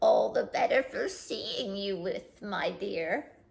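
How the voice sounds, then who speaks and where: A female-sounding put-on character voice, high in pitch, speaks at a fairly slow pace. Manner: weird, odd.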